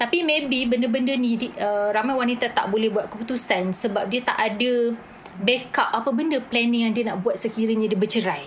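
A woman with a fairly high voice speaks at a moderate pace with fairly even intonation. Her loudness stays very even, and there is noticeable background noise. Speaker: beauty academy CEO. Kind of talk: casual chat.

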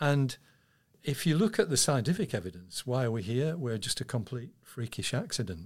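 A man speaks in a somewhat breathy voice. His pitch swings very widely. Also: medium pitch for a man, moderate pace. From England. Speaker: astronomer. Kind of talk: interview.

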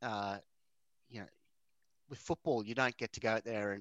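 A man with an Australian accent speaks at a medium pitch, recorded dry and close with no echo against a quiet background. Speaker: motorsport podcast co-host. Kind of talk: casual chat.

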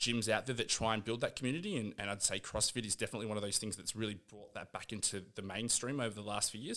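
The voice has a bright, sharp tone and fairly even intonation at a very fast pace. The recording is very clean, with a silent background. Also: man. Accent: Australian. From Australia, Canberra. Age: 30s. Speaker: fitness coach and nanny. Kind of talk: casual chat. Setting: studio.

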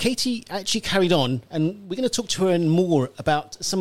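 A man with a high pitch speaks using lively intonation. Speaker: radio host. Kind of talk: radio presenting and interviewing. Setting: radio studio.

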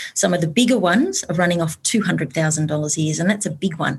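A woman speaks in a somewhat breathy, fairly low voice with an Australian accent. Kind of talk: panel discussion.

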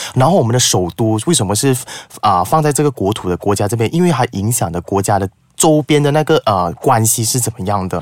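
A man speaks fairly quickly in an unremarkable speaking voice, medium in pitch, with lively intonation. The sound is dry and close, with no echo. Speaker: public speaking teacher. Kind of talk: casual chat.

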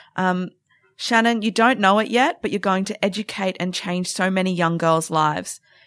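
A woman with an Australian accent speaks at a moderate pace, her medium-pitched voice showing ordinary pitch variation. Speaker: podcast host. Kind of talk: sports chat show. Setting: studio.

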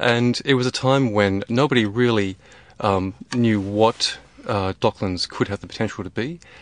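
A man with an Australian accent at a medium pitch, ordinary pitch variation and a moderate pace, in a dry, close sound with no echo. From Australia, rural North West Tasmania. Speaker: architect. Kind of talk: interview. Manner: hesitant, many fillers.

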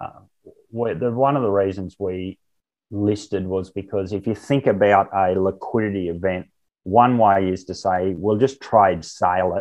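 A man with an Australian accent speaks at a fairly slow pace. His pitch is fairly low and his intonation fairly even. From rural Queensland, Australia. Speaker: olive oil company co-founder and chairman. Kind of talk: interview.

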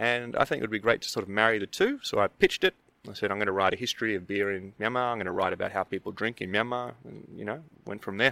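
Speaking at a very fast pace, a man with a fairly low voice has a bright, sharp tone, big swings in loudness and ordinary pitch variation, recorded dry and close with no echo. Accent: Australian. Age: 30s. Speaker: brewer and anthropology researcher. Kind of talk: casual interview. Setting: outdoors at a conference.

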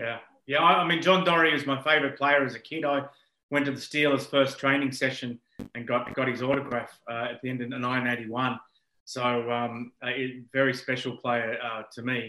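Speaking with an Australian accent, a man keeps a moderate pace. His pitch is medium and his intonation fairly even. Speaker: podcast host. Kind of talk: interview. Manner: halting.

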